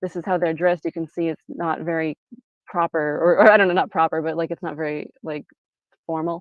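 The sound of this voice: Speaking at a fairly quick pace, a woman with a low pitch for a woman keeps a fairly even intonation in a dry, close sound with no echo.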